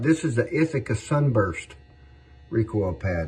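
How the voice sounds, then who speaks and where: Music plays in the background. A man speaks over it at medium pitch. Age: 60s. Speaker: firearms collector and saddle maker. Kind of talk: casual show-and-tell video. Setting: his workshop. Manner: relaxed, hesitant with repetitions.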